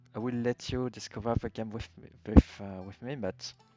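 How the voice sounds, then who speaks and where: A man at medium pitch with a strong French accent, flat monotone intonation and a moderate pace, with music in the background. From France. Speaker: video game streamer. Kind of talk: casual game commentary. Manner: halting, many fillers.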